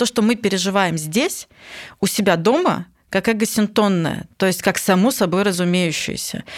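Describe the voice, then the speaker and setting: A woman speaks with a non-native accent and ordinary pitch variation. The recording is very clean, with a silent background. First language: not Russian (speaking Russian). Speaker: psychologist podcast host. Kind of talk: casual chat.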